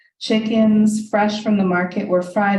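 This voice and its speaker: A woman's dark, mellow voice at medium pitch, somewhat breathy, with fairly even intonation and a fairly slow pace. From US, Hungarian-American family. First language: Hungarian. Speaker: author. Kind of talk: reading aloud.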